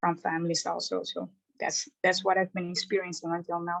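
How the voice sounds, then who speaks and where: At a moderate pace, a woman speaks in a fairly low pitch with monotone, flat intonation. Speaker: telecom RF engineer. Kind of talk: webinar comment. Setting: online webinar. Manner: halting, many fillers.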